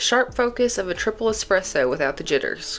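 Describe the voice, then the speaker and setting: Music sits in the background. Over it, a woman talks fairly quickly. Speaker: nursing student. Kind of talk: casual unboxing talk to camera.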